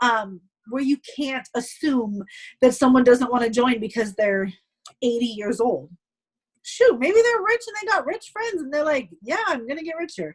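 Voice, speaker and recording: The pitch swings very widely. Loudness also rises and falls in big swings. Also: woman, high pitch for a woman. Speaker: direct sales team leader. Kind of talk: team call presentation. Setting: group call. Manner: fast.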